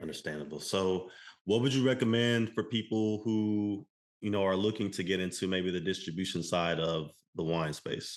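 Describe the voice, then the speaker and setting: In a normal speaking voice, a man with an American accent speaks at a moderate pace, his pitch fairly low with ordinary variation. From Texas. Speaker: podcast host. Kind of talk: interview.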